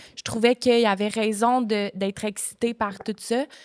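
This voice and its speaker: A woman speaks fairly slowly in a monotone, flat way, the recording very clean with a silent background and a dry, close sound with no echo. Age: 20s. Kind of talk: podcast guest conversation.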